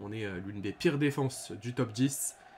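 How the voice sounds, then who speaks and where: A man's voice at medium pitch. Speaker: football YouTuber, OM fan. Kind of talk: match review vlog. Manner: hesitant, many fillers; loud.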